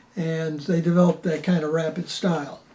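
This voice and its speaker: At a moderate pace, a man with a high voice talks in an American accent. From Buffalo, New York. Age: 80s+. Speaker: painter. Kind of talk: interview. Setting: artist's studio. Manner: halting, with frequent fillers.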